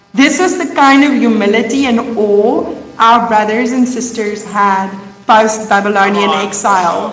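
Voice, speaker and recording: A woman speaks at a fairly slow pace in a fairly high voice, with noticeable noise in the background. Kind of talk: sermon. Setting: stage with audience.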